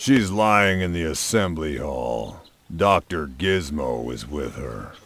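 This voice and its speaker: A man's put-on character voice, very deep and low, fairly slow, with very wide pitch swings. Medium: short film.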